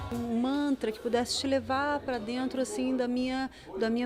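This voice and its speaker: A woman with a high voice talks at a moderate pace, her intonation fairly even. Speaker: singer-songwriter. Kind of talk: interview.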